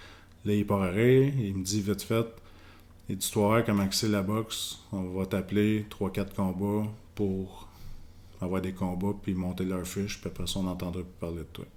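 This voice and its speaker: With a Quebec accent, a man talks at a fairly slow pace in a fairly low pitch, his intonation monotone and flat. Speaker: professional boxer. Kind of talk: casual interview.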